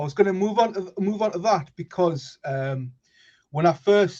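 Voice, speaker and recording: A somewhat breathy man with a dark, mellow tone at a moderate pace. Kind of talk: casual chat. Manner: halting.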